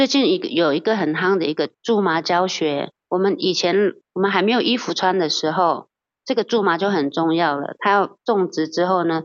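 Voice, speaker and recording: A woman talks in a plain, everyday voice at medium pitch with ordinary pitch variation and a moderate pace. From Taiwan, Hsinchu mountains (Atayal). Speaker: campground owner. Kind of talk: interview.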